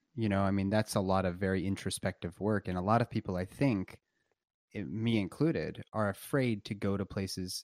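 A plain, everyday voice: a man with a fairly low pitch, ordinary pitch variation, and a moderate pace. The sound is dry and close with no echo, on a very clean recording with a silent background. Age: 30s. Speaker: obstetrician and palliative care doctor. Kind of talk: casual chat.

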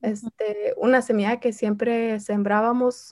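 Against a silent background in a very clean recording, a woman speaks very slowly at a fairly high pitch in a flat, monotone delivery. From Southern California (Santa Ana), P'urhépecha family from Michoacán. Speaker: artist and community activist. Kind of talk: interview.

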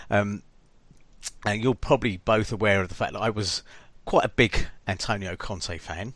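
With an English accent, a man of fairly low pitch talks at a moderate pace on a very clean recording with a silent background. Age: 50s. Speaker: podcast host. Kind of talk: casual chat.

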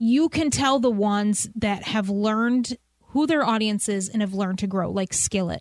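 A woman with a plain, everyday voice, fairly high in pitch, with ordinary pitch variation, very even loudness and a moderate pace. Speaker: podcast host. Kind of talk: interview conversation, casual. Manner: warm, upbeat, laughs often.

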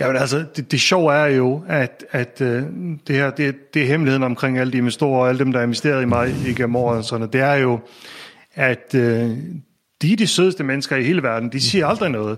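Here a man speaks at medium pitch. His pitch variation is ordinary. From Faroe Islands. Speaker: tech entrepreneur and investor. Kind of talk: interview conversation. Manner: halting, many repetitions.

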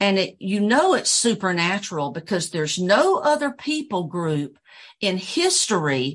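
A woman's medium-pitched voice with very wide pitch swings, set against a quiet background. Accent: slight Southern US. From US South, Georgia. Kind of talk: casual interview chat.

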